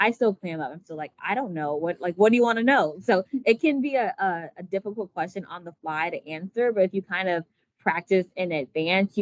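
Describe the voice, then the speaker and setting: Recorded dry and close with no echo, a woman speaks with lively intonation. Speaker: company recruiter. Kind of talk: workshop presentation. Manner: fast.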